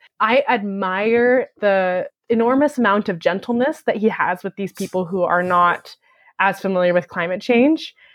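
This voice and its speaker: With an American accent, a woman speaks at a moderate pace and medium pitch in a plain, everyday voice, showing ordinary pitch variation. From Utah, US. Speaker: podcast co-host. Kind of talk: casual interview chat.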